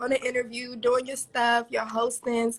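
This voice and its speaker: With a Maryland accent, a woman speaks at a fairly quick pace in a high, monotone voice with flat intonation. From Maryland, DC area. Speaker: online talk show host. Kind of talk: interview. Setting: livestream.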